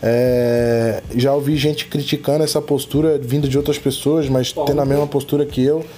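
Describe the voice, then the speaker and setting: The intonation is monotone and flat, with very even loudness. Noticeable background noise runs under the voice. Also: man, fairly high pitch for a man, moderate pace. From Florianópolis, Brazil. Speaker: podcast host. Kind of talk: casual chat.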